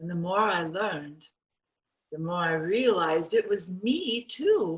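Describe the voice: A put-on character voice, slow and lively in intonation, with a slightly husky edge. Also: woman, fairly low pitch for a woman.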